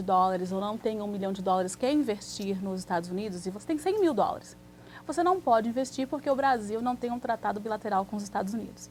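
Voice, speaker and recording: Somewhat breathy, a woman speaks fairly quickly at a medium pitch with ordinary pitch variation. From Brazil, Santos (São Paulo coast). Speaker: immigration lawyer. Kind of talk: TV interview.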